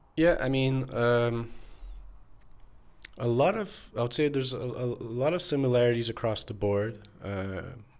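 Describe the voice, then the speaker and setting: A man's medium-pitched voice at a moderate pace, with ordinary pitch variation, long, frequent pauses and audible room echo. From Canada, Montreal. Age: 20s. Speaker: technical writer. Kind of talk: casual chat.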